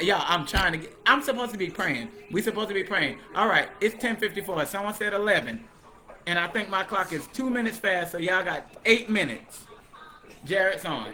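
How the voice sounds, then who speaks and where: Against noticeable background noise, a man with a high pitch talks at a fairly quick pace in an animated tone, his voice raised and projected. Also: ordinary pitch variation. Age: 30s. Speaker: livestream host, former cult member. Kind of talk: casual livestream chat, testimony. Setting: live stream on Facebook and TikTok. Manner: talkative.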